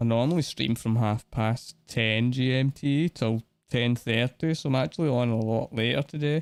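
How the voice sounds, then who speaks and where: A man with a Scottish accent speaks at a medium pitch and moderate pace with ordinary pitch variation, very even loudness and hardly any pauses. The recording is very clean with a silent background and a dry, close sound with no echo. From Scotland. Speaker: gaming streamer. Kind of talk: live gameplay stream chat.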